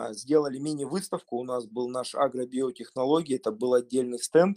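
Here is a man with an ordinary speaking voice and a fairly high pitch. He talks at a moderate pace in a dry, close sound with no echo. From Russia. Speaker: urban farmer. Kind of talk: group discussion.

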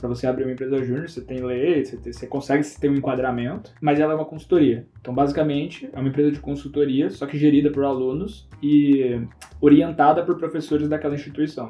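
A man's fairly high voice at a very fast pace, with fairly even intonation and hardly any pauses. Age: 20s. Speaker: entrepreneur. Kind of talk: casual chat.

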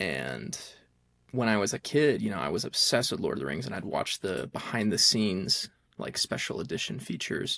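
Talking at a fairly quick pace, a man with fairly low pitch swings his pitch very widely, with vocal fry. His tone is bright and sharp, on a very clean recording with a silent background. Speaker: podcast co-host, college student. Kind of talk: casual chat.

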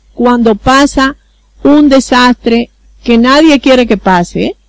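With a Dominican accent, a woman speaks at a high pitch. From Dominican Republic, El Seibo province (east). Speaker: diplomat. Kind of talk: interview.

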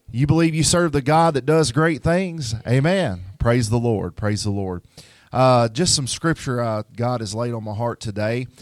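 A man in a Memphis accent talks in an animated tone with lively intonation. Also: medium pitch for a man, moderate pace, very clean recording, silent background. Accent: US Southern (Memphis). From Memphis, Tennessee. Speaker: pastor. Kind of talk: sermon. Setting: church.

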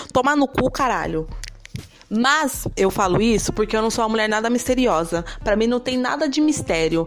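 The speech moves at a fairly quick pace. Background noise is noticeable throughout. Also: woman. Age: 20s. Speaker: podcast host. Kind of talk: casual monologue. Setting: home room. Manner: fast.

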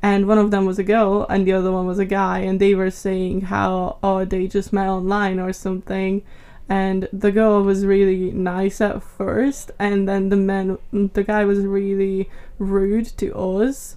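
Her tone dark and mellow, a woman speaks at a fairly slow pace and medium pitch in a monotone, flat intonation. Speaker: amateur gamer. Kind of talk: casual chat. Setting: studio.

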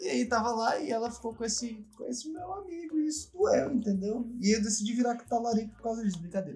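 A man talks at a very fast pace with hardly any pauses and an extremely high pitch. His intonation is lively. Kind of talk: casual chat.

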